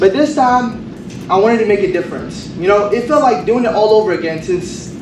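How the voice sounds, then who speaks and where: With a Kurdish accent, a man speaks very fast with ordinary pitch variation, amid audible room echo and noticeable background noise. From Kurdistan, Iraq; raised in Kentucky from age seven. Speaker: college honors graduate. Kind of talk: graduation speech. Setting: stage with audience.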